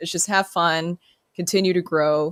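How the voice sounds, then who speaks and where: Speaking with an American accent, a woman has a fairly low pitch and fairly even intonation at a fairly slow pace. The very clean recording has a silent background and a dry, close sound with no echo. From US South, Murfreesboro, Tennessee. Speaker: sports radio host. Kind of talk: casual chat.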